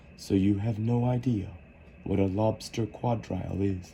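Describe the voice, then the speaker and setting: A man's put-on character voice, fairly low in pitch and at a moderate pace, with clear background noise. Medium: read story. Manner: mournful, sighing.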